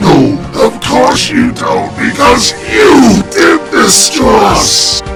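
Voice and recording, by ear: Putting on a character voice, a man speaks at a very slow pace with an extremely high pitch, big pitch swings and vocal fry, while clear music plays in the background.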